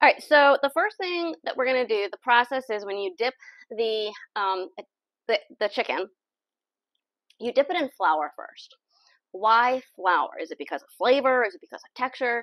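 A woman speaks in a high voice at a moderate pace, stopping often for long pauses. The background is quiet, and the sound is dry with no echo. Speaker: home cook host. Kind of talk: tutorial. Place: kitchen.

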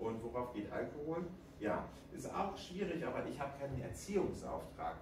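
Over noticeable background noise and audible room echo, a man with a fairly high pitch speaks at a fairly slow pace with lively intonation. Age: 40s. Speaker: author. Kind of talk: interview. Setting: stage with audience.

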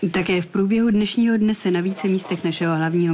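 A woman talks very fast in a deadpan tone. Noticeable background noise is present. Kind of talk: 1989 TV news report narration. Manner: formal, measured, deadpan newsreader delivery.

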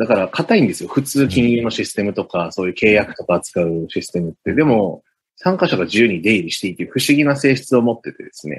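Very fast and with hardly any pauses, a man talks at a medium pitch. His pitch swings very widely and his loudness swings a lot. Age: 30s. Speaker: blockchain engineer. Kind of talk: explanatory interview talk.

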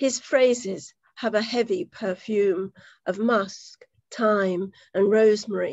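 A woman's fairly high voice at a very slow pace, with ordinary pitch variation, a dry sound with no echo and a quiet background. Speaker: poetry event host. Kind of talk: hosting an online poetry reading. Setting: video call. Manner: warm, chatty. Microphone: video call.

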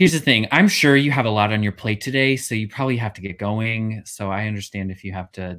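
A man talks at a very fast pace with hardly any pauses, his pitch fairly low with ordinary variation. His loudness swings widely over a quiet background. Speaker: actor, workshop participant. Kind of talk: comedy scene reading. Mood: awkward, hesitant. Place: home room.

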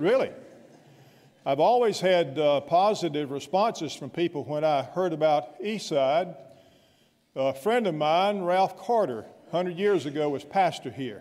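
In a South Carolina accent, a man talks at a fairly slow pace with a high pitch and lively intonation. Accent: Southern US (South Carolina). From US South, upstate South Carolina (Anderson). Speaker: guest pastor. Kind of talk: sermon. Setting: church. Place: church. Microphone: podium.

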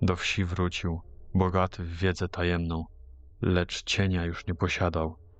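A man speaks at a very slow pace in a very deep, low pitch. His tone is dramatic, yet his intonation stays monotone and flat. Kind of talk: ghost story narration. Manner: slow, hushed, ominous storytelling; archaic folk-tale diction with dramatic pauses.

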